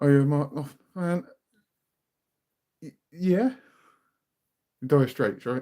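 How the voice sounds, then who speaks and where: Speaking at a fairly slow pace, a man with a dark, mellow tone leaves long, frequent pauses, with big swings in loudness and ordinary pitch variation. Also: fairly high pitch for a man. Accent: British. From southern England. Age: 40s. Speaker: music reaction youtuber. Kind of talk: casual chat. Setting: live stream.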